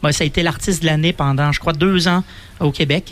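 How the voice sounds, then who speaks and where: A fairly high pitch marks this man's voice. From Quebec, Donnacona near Quebec City. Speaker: festival organizer. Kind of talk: radio interview. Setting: outdoor live radio broadcast.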